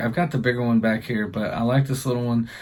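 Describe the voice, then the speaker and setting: A man with medium pitch talks in a plain, everyday voice. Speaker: hunting channel host. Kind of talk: casual vlog narration. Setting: deer stand outdoors.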